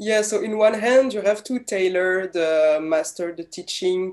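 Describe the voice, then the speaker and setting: Against a quiet background, a woman with an ordinary speaking voice talks at a moderate pace, fairly low pitch and ordinary pitch variation. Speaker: interviewer. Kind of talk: interview. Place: home room. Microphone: earbuds.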